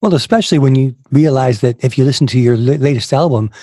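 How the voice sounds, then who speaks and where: With a dark, mellow tone, a man talks fairly quickly in a somewhat breathy voice. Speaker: podcast host. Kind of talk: interview; sponsor read and outro.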